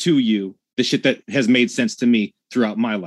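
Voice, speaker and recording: An unremarkable speaking voice from a man, fairly slow, with ordinary pitch variation. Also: dry, close sound with no echo. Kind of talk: heated debate.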